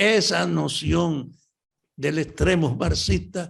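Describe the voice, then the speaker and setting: This man's fairly high voice carries lively intonation and vocal fry. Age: 80s+. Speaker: veteran leftist politician. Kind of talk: interview.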